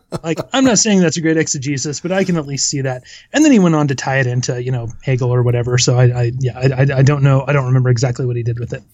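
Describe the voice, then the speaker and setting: A man talks at a very fast pace with hardly any pauses. His medium-pitched voice is somewhat breathy, with ordinary pitch variation. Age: 30s. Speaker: academic. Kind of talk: casual chat.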